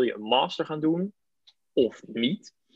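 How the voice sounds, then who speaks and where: The speech moves at a very slow pace, and the sound is dry and close with no echo. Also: man. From Netherlands, North Holland (Aalsmeer). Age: 30s. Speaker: TV producer and local radio volunteer. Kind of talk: interview.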